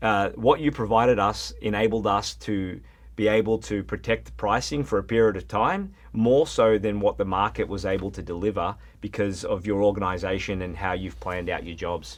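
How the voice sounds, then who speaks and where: With an Australian accent, a man speaks at a moderate pace in a fairly low voice with vocal fry and big swings in loudness over a quiet background. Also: lively intonation. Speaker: plumbing supply regional manager. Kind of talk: podcast interview.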